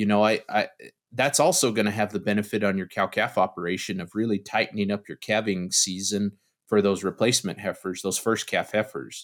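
In a very clean recording with a silent background, a man with an American accent speaks at a fairly quick pace in a plain, everyday voice, fairly low in pitch with fairly even intonation. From US Southwest, eastern New Mexico. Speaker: beef nutrition professor. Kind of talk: interview.

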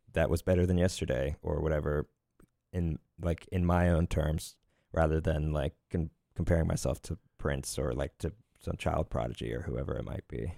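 Very deep and low, a man's dark, mellow voice shows vocal fry and an American accent on a very clean recording with a silent background. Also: ordinary pitch variation, moderate pace, dry, close sound with no echo. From Lancaster County, Pennsylvania. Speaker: bass player and musician. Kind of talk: casual interview. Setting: studio in a glass booth. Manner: hesitant, many fillers.

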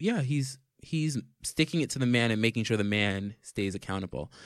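A plain, everyday voice, this man has an American accent and a medium pitch with ordinary pitch variation. He talks at a moderate pace in a dry, close sound with no echo. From New York City. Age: 20s. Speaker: podcast host. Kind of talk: casual chat.

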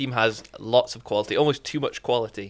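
A man speaks with a Glasgow accent at medium pitch. His tone is bright and sharp, and his intonation fairly even. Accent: Scottish, Glasgow. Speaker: football fan guest. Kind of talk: casual chat.

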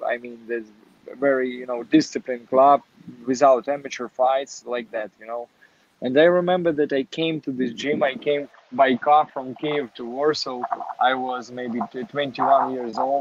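The speaker has a Ukrainian accent. Their intonation stays fairly even. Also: man, medium pitch for a man, moderate pace. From Ukraine, Kharkiv. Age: 20s. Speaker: professional boxer. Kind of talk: interview. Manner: halting.

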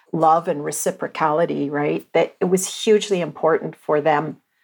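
A woman with a Canadian accent speaks at a moderate pace with fairly even intonation in an ordinary speaking voice. The recording is very clean, with a silent background. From Alberta, Canada. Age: 50s. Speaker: visual artist. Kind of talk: interview.

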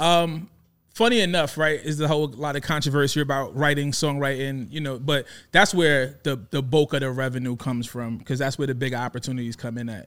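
A man talks at a fairly quick pace with a New York accent, his pitch fairly high and its variation ordinary. The recording is very clean, with a silent background. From Brooklyn, New York (Coney Island). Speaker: rapper and music executive. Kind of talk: casual chat. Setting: studio.

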